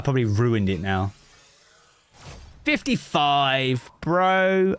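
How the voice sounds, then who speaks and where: With a British accent, a man speaks at a fairly high pitch in very wide pitch swings. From Britain. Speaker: gaming streamer. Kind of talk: casual chat. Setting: live stream. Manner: halting.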